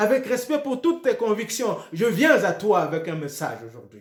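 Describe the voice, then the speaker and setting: His pitch rises and falls very widely. The man keeps a moderate pace. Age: 60s. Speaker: pastor. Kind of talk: sermon. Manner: repetitive, hesitant restarts.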